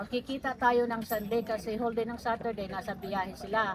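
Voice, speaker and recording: A loud woman with a high pitch speaks at a fairly slow pace. Her intonation stays fairly even. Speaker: tribute speaker, surrogate mother of deceased. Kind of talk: eulogy speech.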